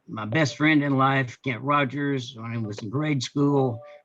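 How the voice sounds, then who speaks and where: The intonation remains fairly even. It comes from a man with an American accent. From Northeast Texas. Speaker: Rotary club member giving life story. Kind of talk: personal life story at a club meeting. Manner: halting, many fillers.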